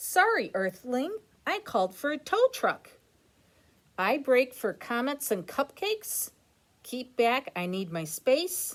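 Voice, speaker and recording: A woman uses a put-on character voice, high-pitched with very wide pitch swings. She goes at a fairly slow pace with long, frequent pauses. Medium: read story.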